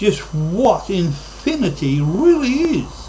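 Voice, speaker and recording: Audible room echo hangs around this man's speech. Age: 60s. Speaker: YouTube vlogger. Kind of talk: monologue.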